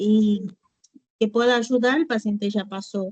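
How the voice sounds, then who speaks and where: Somewhat breathy and fairly slow, a woman with a non-native accent speaks in a dark, mellow tone at a fairly high pitch with ordinary pitch variation. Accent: foreign accent in Spanish. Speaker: nurse student. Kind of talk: casual class discussion.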